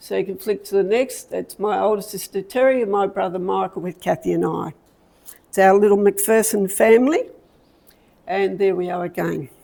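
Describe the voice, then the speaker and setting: Moderate pacing from a woman in an Australian accent. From Australia, Victoria (Melbourne area). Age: 70s. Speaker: community talk speaker. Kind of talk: personal life story talk. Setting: talk to a live audience with slides. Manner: halting.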